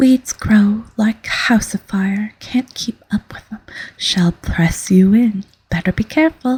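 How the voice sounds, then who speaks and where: At a very slow pace, the speaker talks in a soft-spoken way with a gentle tone. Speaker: ASMR audiobook reader. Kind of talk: soft-spoken ASMR story reading. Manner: soft-spoken, gentle. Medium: read story.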